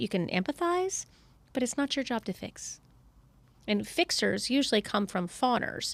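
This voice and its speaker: A woman with a Southern US accent speaks at a moderate pace in an animated tone, her high pitch swinging very widely, on a very clean recording with a silent background. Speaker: psychotherapist. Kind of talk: podcast interview.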